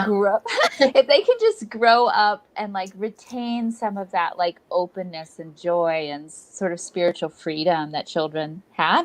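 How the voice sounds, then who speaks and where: In an American accent, a woman speaks at a fairly slow pace and medium pitch with lively intonation, big swings in loudness and a plain, everyday voice, in a dry, close sound with no echo. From San Antonio, Texas. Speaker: actress, artist and children's book author. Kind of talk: interview answer.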